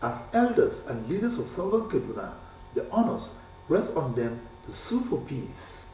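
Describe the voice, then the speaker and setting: A man speaks at a moderate pace with very wide pitch swings, and noticeable background noise can be heard. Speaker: news correspondent. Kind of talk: TV news report narration.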